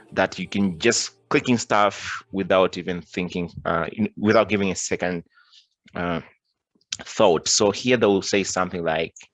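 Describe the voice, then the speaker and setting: A man speaks with a non-native accent at a fairly slow pace. His very deep, low pitch holds a fairly even intonation. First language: not English. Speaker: cybersecurity tutorial presenter. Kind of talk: screen-recorded tutorial. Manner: halting, many restarts and fillers.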